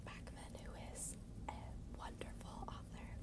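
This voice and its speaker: Someone whispers at a fairly slow pace, with noticeable background noise behind the voice. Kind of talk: ASMR book rambles. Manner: soft-spoken, whispered.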